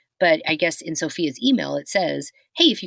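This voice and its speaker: Recorded very cleanly with a silent background, a woman talks at a fairly quick pace. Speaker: podcast co-host. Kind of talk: casual chat. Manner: fast.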